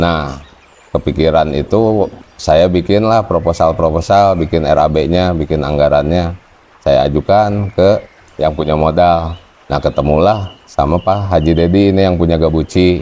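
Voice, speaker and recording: Fairly even intonation and very even loudness over noticeable background noise. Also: man, very deep, low pitch for a man, fairly slow pace. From West Java (Tasikmalaya). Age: 20s. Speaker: cattle farmer. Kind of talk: interview testimony. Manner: casual, with hesitations.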